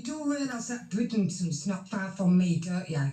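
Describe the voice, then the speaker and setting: A woman's pitch swings very widely as she talks at a moderate pace, with noticeable background noise behind her. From Yorkshire, near Hull. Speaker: live stream chat participant. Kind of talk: heated banter.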